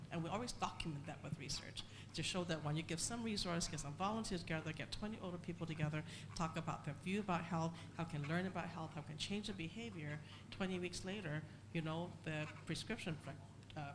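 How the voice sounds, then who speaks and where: Speaking at a very fast pace, this soft-spoken, somewhat breathy voice carries audible room echo. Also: woman, fairly low pitch for a woman, ordinary pitch variation. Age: 60s. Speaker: foundation chair, panelist. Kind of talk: panel discussion. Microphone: too quiet.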